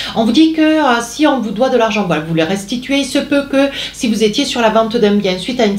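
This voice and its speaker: Amid noticeable background noise and audible room echo, a woman speaks at a fairly high pitch with lively intonation. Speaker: tarot card reader. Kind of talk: tarot reading. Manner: hesitant, many fillers.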